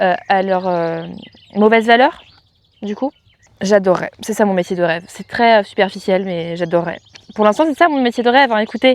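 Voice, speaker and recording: The intonation is lively at a moderate pace. Long, frequent pauses break up the speech. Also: woman, medium pitch for a woman. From France, countryside. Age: 20s. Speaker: equestrian vlogger. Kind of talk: casual Q&A vlog. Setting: at parents' home with animals. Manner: casual, hesitant with many fillers.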